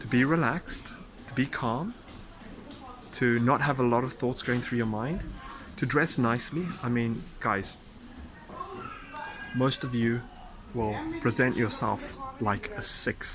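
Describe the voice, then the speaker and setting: A man speaks at a fairly slow pace with long, frequent pauses and ordinary pitch variation, amid audible room echo and noticeable background noise. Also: medium pitch for a man. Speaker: dating coach. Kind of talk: casual vlog advice. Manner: halting.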